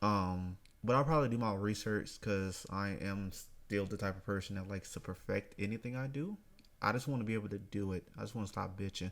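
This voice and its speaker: A man with an ordinary speaking voice talks at a moderate pace and fairly low pitch on a very clean recording with a silent background. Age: 20s. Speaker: podcast host. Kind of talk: casual solo monologue. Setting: apartment living room. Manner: casual, rambling with fillers. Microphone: USB microphone in living room, poor audio.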